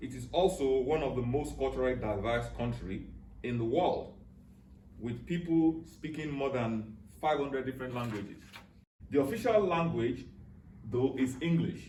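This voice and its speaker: A man with a Nigerian accent speaks at a moderate pace and a medium pitch, with ordinary pitch variation, long and frequent pauses, and audible room echo. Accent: Nigerian (Yoruba) English. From southwest Nigeria, Yoruba. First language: Yoruba. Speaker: cultural speaker. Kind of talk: educational talk. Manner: halting.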